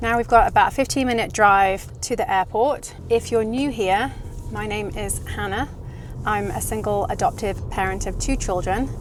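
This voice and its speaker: Music plays in the background as a woman with an English accent speaks at a moderate pace. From England, Cotswolds. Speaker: travel vlogger, single parent. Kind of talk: casual vlog narration. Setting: in a car.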